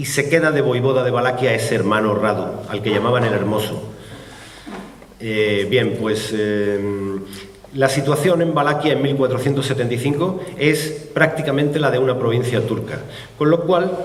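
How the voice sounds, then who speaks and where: A man's medium-pitched voice at a moderate pace, ordinary pitch variation, audible room echo and noticeable background noise. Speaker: author presenting his book. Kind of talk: book presentation talk. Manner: hesitant, many fillers.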